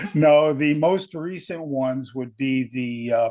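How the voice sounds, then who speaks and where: A man speaks with a New England accent. His pace is very slow, with ordinary pitch variation. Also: quiet background. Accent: New England American. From Connecticut, US. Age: 70s. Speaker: podcast guest. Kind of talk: casual chat.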